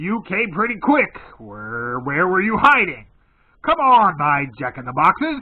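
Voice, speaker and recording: A man puts on a gruff character voice at a high pitch. It leaps through very wide pitch swings at a moderate pace. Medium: read story. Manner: gruff, blunt.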